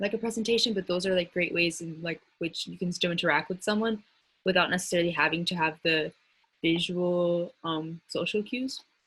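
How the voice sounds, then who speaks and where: Ordinary pitch variation runs through a woman's fairly low-pitched voice. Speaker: student speaking fellow. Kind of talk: panel discussion. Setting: video call. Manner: fast.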